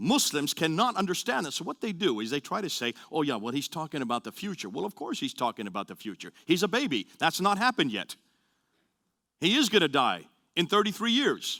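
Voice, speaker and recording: A man with a fairly high pitch and vocal fry talks at a fairly quick pace with very wide pitch swings and a bright, sharp tone, in a very clean, dry, close recording with no echo and a silent background. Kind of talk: lecture. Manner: fast.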